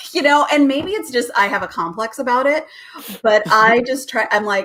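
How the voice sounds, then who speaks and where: A loud woman with a high pitch speaks at a moderate pace with lively intonation. Noticeable background noise runs behind her. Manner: naturally loud.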